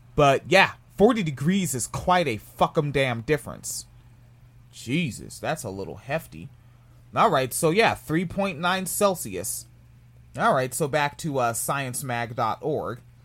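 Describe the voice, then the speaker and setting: A man's fairly high voice with an American accent, very slow in pace, with vocal fry and very wide pitch swings. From US, New Jersey. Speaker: podcast host. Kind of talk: casual commentary on a news article. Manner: casual, profane.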